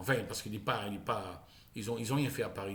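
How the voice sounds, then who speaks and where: Over audible room echo, a man speaks at a medium pitch and a fairly quick pace, with ordinary pitch variation. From Charente, southwestern France. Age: 60s. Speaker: vlogger. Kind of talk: casual monologue vlog. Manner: halting, with many repetitions.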